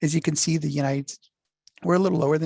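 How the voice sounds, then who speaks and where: Recorded in a dry, close sound with no echo, a man speaks in a somewhat breathy voice. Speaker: workforce development presenter. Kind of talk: presentation. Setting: video call.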